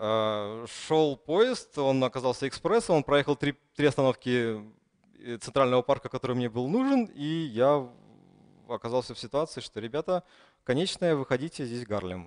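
A man at a medium pitch speaks with a Russian accent against a quiet background. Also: ordinary pitch variation, moderate pace. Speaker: conference speaker. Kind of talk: conference talk. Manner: hesitant with fillers. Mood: humorous storytelling. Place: hall.

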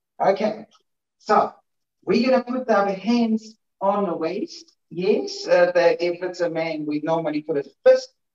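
Lively intonation marks a man speaking at a high pitch and a fairly slow pace, with long, frequent pauses. The background is quiet, though there is audible room echo. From Ukraine. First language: Ukrainian. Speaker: dancer; dance instructor. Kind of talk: tutorial. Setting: video call. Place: home room. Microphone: video call.

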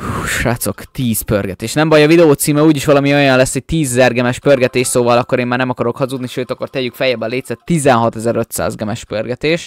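A man's animated tone at a fairly quick pace, hardly any pauses, and dry sound with no echo. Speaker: gaming YouTuber; gaming youtuber. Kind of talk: gameplay commentary. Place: home room.

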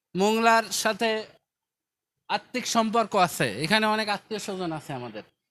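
With big swings in loudness, a man speaks at a high pitch in a bright, sharp tone with ordinary pitch variation on a very clean recording with a silent background. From Bangladesh, Bagerhat. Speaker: charity foundation representative. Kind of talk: public address at relief event.

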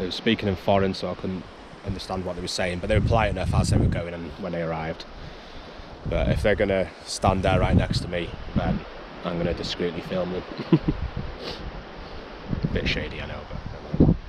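The speech comes at a fairly quick pace, with a dry sound with no echo and loud background noise. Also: man. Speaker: outdoor camping vlogger. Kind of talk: casual vlog chat. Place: open country. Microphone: phone near.

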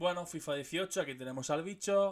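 The setting is quiet. His pitch rises and falls in a normal way as the man talks. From Murcia, Spain; Spain. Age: 30s. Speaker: gaming youtuber. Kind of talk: casual video monologue. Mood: nostalgic, joking. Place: home room. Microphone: studio mic.

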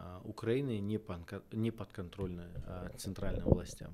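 Noticeable background noise sits behind a man speaking very slowly. His pitch is fairly low and his intonation fairly even. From Kazakhstan. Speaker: political scientist; guest. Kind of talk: interview. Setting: studio. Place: studio. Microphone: studio mic.

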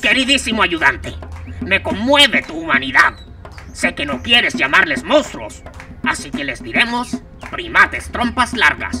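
A cartoonish character voice moves at a moderate pace over clear music in the background. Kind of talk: children's puppet comedy. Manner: pompous, lecturing.

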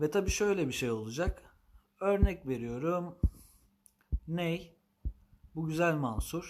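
Lively intonation marks this man's high-pitched voice. He speaks at a very slow pace with long, frequent pauses. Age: 30s. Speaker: ney teacher and maker. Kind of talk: live stream announcement. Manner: formal.

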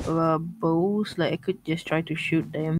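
In an ordinary speaking voice, a woman talks at a fairly slow pace. Her pitch is fairly low. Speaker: online gaming friend. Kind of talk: casual gameplay chat. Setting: voice chat online.

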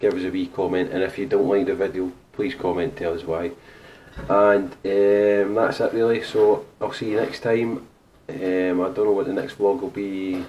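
A man with a plain, everyday voice, fairly low in pitch, with ordinary pitch variation at a moderate pace over light background noise. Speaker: vlogger. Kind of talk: casual vlog chat. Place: home room. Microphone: camera far.

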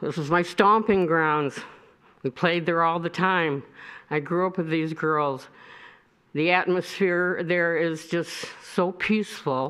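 Over a quiet background, a woman with a Michigan accent speaks at a very slow pace, her fairly low pitch holding fairly even intonation. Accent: US Midwest (Michigan). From Michigan, Royal Oak. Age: 70s. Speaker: resident speaking at public comment. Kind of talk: public comment at city meeting.

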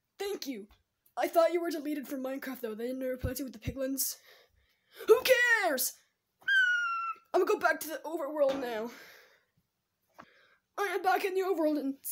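A high-pitched, cartoonish character voice at a fairly quick pace, broken by long, frequent pauses. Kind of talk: gameplay commentary. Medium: puppet. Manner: excited, upbeat.

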